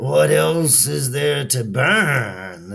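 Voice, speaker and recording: Using a put-on character voice, a man speaks in a raspy, fairly low register with very wide pitch swings. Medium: read story.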